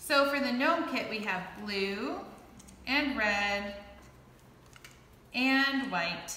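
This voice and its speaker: Very slowly and with long, frequent pauses, a woman speaks at a fairly high pitch with very wide pitch swings, her voice carrying audible room echo. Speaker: clay art instructor. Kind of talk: tutorial. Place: workshop. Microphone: camera far.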